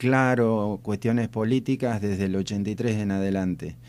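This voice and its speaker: This man speaks with a fairly low pitch. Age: 60s. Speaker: rural society representative. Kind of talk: radio interview. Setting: radio studio.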